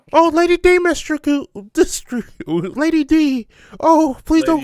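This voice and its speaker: The put-on character voice sits high in pitch and moves at a fairly slow pace. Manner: pleading, fearful.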